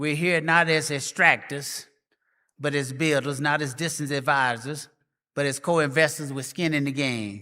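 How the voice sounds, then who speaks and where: Bright and sharp in tone, a man with a Memphis accent talks at a fairly high pitch and a fairly slow pace. His intonation is fairly even, on a very clean recording with a silent background. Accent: Memphis, Tennessee (Southern US). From US South, Memphis, Tennessee. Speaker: professor, conference speaker. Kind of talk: conference speech.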